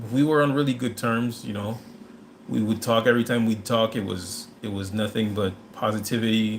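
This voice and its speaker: Noticeable background noise runs under this recording. A man speaks at a moderate pace and a medium pitch. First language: not English. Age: 30s. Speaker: livestream host. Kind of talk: casual chat. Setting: live stream. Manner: halting.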